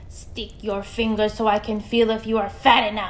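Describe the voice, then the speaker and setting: A growling put-on character voice in a flat monotone at a moderate pace, with clear background noise. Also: woman, fairly high pitch for a woman. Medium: read story. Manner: cackling.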